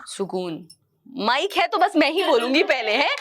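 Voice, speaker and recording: This woman's playful tone rides on very wide pitch swings. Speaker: spoken word poet. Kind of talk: live stage talk with audience interaction. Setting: stage with live audience. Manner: casual, playful.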